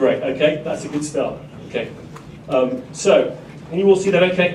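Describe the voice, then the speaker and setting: Noticeable background noise and audible room echo surround a voice talking at a moderate pace. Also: man. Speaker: conference speaker. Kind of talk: conference presentation.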